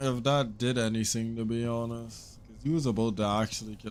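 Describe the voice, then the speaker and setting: A man speaks at a moderate speed, and the room's echo is audible. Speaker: gaming streamer. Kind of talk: gameplay commentary.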